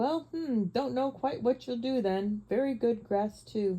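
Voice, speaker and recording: Someone performs a put-on character voice, speaking fairly slowly. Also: woman, fairly high pitch for a woman. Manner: mouth full, chewing, muffled.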